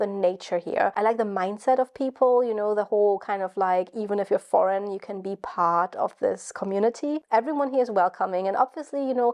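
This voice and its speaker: A woman with a German accent at a fairly quick pace. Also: dry, close sound with no echo. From Germany. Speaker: YouTuber and PhD student. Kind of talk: vlog monologue. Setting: at home in her flat. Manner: casual, rambling.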